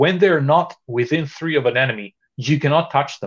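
With a Greek accent and a somewhat breathy sound, this voice moves at a moderate pace with ordinary pitch variation against a quiet background. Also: man. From Greece. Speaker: miniature painter and wargamer. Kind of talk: casual chat. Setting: video call. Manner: excitable.

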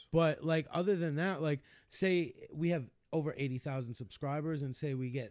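In a very clean recording with a silent background, a man with a plain, everyday voice speaks at a moderate pace, his pitch fairly high with ordinary variation. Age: 30s. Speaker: social media content creator. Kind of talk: casual chat.

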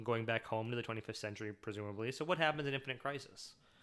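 A man with a Michigan accent and ordinary pitch variation, on a very clean recording with a silent background. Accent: US Midwest (Michigan). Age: 30s. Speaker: podcast host. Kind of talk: solo podcast monologue. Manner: animated, with frequent fillers and restarts.

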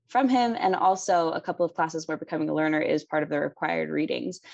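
Against a quiet background, a woman with an American accent talks at a fairly quick pace. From Philadelphia, US. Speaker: college student. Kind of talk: casual chat.

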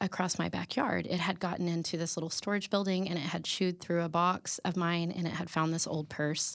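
A woman's plain, everyday voice at a fairly low pitch and moderate pace, in a very clean recording with a silent background. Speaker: podcast co-host. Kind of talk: casual interview. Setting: studio.

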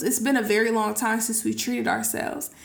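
A woman talking at a fairly quick pace amid audible room echo. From California, Sacramento area. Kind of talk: casual chat.

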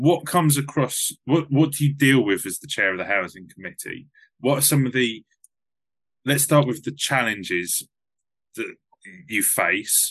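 A man with an ordinary speaking voice talks at a moderate pace in a medium pitch, his loudness swinging widely. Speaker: podcast host. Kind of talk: casual interview.

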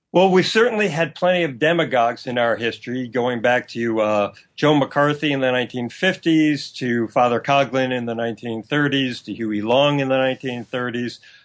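A man with a plain, everyday voice talks at a moderate pace. His pitch is medium, with ordinary variation. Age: 60s. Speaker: historian and author. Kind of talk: interview.

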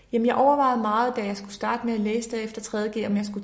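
A woman talks very fast in a fairly high, flat monotone. Background noise is noticeable throughout. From Denmark, Horsens (East Jutland). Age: 20s. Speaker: politician. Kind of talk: interview. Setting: parliament building office.

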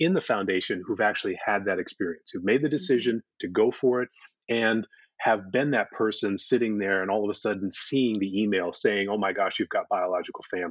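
In a normal speaking voice, a man with a fairly low pitch talks at a fairly quick pace with ordinary pitch variation. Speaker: podcast guest, foundation co-founder.

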